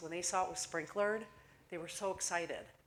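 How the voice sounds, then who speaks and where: A woman with a Midwestern accent talks at a very fast pace. Her pitch is fairly low, and the room echo is audible. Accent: Midwestern twang. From US Midwest. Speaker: fire safety communications manager. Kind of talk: conference presentation. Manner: hesitant with fillers.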